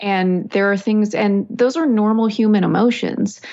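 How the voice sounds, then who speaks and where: This woman has an unremarkable speaking voice with an American accent, pitched at a medium level. She talks at a moderate pace with ordinary pitch variation. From West Texas (Snyder). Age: 40s. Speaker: author and martial arts practitioner. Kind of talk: interview, personal testimony.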